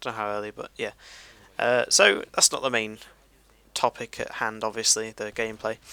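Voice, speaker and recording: A man with a British accent speaks at medium pitch in a bright, sharp tone. His intonation is flat and monotone, broken by long, frequent pauses. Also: moderate pace, dry, close sound with no echo. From Great Britain. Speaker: gaming commentator. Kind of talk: gameplay commentary. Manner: laid-back; halting.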